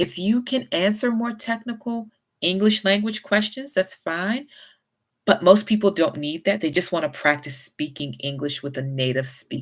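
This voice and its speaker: On a very clean recording with a silent background, a woman with an American accent speaks at medium pitch, with very wide pitch swings and big swings in loudness. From US South. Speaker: YouTuber with chronic illness. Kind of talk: casual vlog advice. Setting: home livestream. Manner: not fast.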